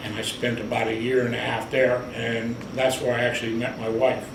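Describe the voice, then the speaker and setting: With an American accent, a man speaks in a monotone, flat manner amid noticeable background noise and audible room echo. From US Midwest, Cleveland, Ohio. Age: 70s. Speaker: navy veteran. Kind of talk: oral history interview.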